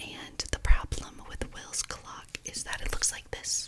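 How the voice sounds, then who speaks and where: Whispered words come at a fairly slow speed, with noticeable noise in the background. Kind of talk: ASMR whisper ramble. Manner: whispered, soft-spoken.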